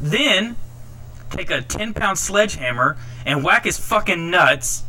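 A man speaks in a furious tone with lively intonation, at a fairly slow pace. Music plays in the background. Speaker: podcast ranter. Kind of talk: angry rant. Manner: furious, profane, loud.

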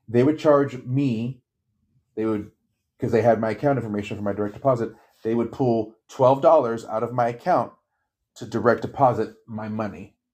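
Using a plain, everyday voice, a man talks at a moderate pace and medium pitch with fairly even intonation over a quiet background. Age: 40s. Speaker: retail worker. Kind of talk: casual chat.

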